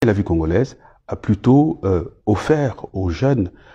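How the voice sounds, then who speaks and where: This man's voice is somewhat breathy, with a dark, mellow tone. He speaks at a fairly slow pace with lively intonation. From Republic of the Congo. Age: 60s. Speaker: politician, former minister. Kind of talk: interview monologue. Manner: hesitant, many fillers.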